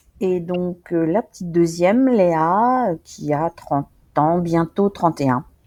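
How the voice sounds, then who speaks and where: Very slow speech from a woman with a fairly low pitch and a dark, mellow tone, ordinary pitch variation, and a quiet background. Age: 60s. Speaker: farmer's wife, retired insurance employee. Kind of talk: interview testimony. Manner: hesitant, many fillers.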